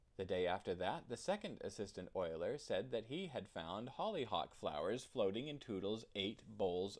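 What you hear is someone reading with a natural voice.

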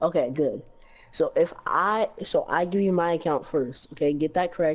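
At a moderate pace, a woman with a fairly low pitch has a normal speaking voice and keeps her loudness very even. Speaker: fellow gamer. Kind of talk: casual chat.

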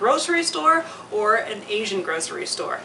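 Light background noise sits behind a woman talking at a moderate pace. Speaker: home cooking show host. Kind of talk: tutorial. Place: home room.

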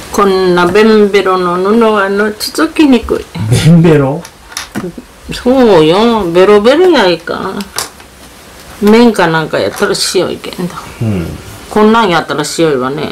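A woman speaks in a Tosa accent with lively intonation at a fairly slow pace. Long pauses come often, with light background noise behind her. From Kochi, Japan. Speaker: grandmother sewing. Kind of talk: casual talk while sewing. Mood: relaxed, mildly grumbling. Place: home room. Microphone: phone near.

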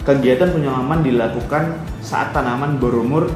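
The speech moves at a moderate pace with audible room echo and clear music in the background. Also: man. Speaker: presenter. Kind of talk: lecture. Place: home room. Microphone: webcam.

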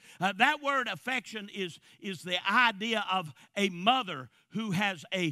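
Projecting his voice, a man speaks very slowly in a high, bright and sharp tone with lively intonation. The sound is dry with no echo, and the background is quiet. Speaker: preacher. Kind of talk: sermon. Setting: church. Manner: animated; forceful. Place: church. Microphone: headset.

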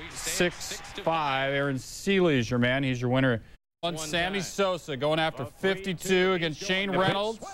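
A man's normal speaking voice, fairly high in pitch, with ordinary pitch variation, very even loudness and a fairly slow pace. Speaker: sports highlights anchor. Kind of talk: baseball highlights narration.

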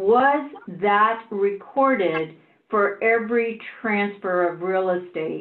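Amid audible room echo, a woman speaks at a very slow pace and a medium pitch with ordinary pitch variation. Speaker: board member. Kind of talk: public board meeting. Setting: video call. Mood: probing, pointed. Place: home room. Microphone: video call.

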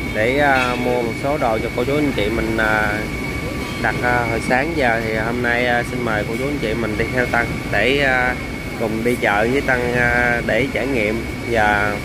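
The speech comes at a fairly slow pace with long, frequent pauses, dry with no echo, under loud background noise. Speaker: seafood buyer vlogger. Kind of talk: casual vlog chat. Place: market. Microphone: phone near.

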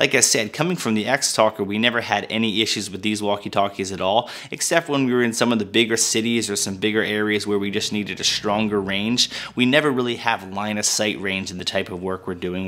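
The speech comes at a very fast pace with hardly any pauses. Intonation stays fairly even. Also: man. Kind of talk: product review talk. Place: studio.

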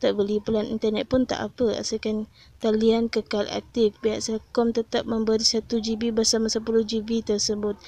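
In a Malaysian accent, a woman speaks with fairly high pitch and a dark, mellow tone. Her intonation is monotone and flat, and the sound is dry and close with no echo. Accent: Malaysian Malay. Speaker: YouTuber tech tips channel admin. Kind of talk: street seller pitchman, hard-sell promo of cheap data plans. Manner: fast, hyped, pushy salesman patter; emphatic, persuasive, promising 'no scam' deals.

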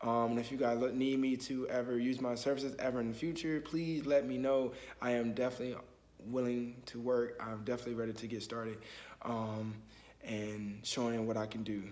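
Fairly even intonation and a fairly quick pace from a man with a medium-pitched voice. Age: 20s. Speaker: student and photographer. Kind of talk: casual self-introduction video. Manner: casual, with frequent filler words. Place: home room. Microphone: phone near.

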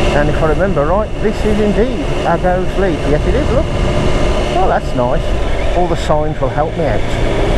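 Speech at a moderate pace comes through loud background noise in a dry sound with no echo. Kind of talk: casual running commentary. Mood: relaxed, amused. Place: car.

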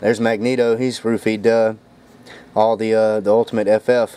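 A man talks at a moderate pace, the sound dry with no echo. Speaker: comic collector. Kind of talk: casual vlog chat. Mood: joking, amused. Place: home room. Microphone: phone near.

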